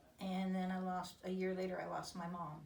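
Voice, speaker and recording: Amid audible room echo, a woman talks at a fairly slow pace with a fairly low pitch. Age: 60s. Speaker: patient giving testimonial. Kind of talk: testimony. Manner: halting, many fillers.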